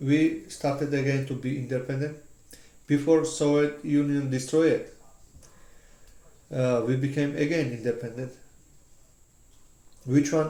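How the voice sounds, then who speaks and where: The voice has a dark, mellow tone, a Georgian accent and monotone, flat intonation. Long, frequent pauses and audible room echo run through the clip. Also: man. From Georgia (country). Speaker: interviewee. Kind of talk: casual chat. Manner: halting.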